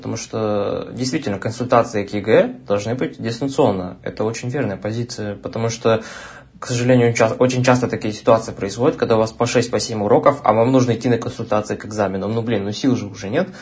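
A man talks at a very fast pace in a somewhat breathy voice. His pitch is medium and his intonation fairly even. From Russia, Omsk. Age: young. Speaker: university student and online tutor. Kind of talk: casual chat.

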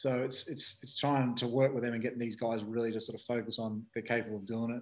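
Flat, monotone intonation marks this man's delivery in an Australian accent. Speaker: speedway team manager, former rider. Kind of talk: casual interview. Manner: halting, many fillers.

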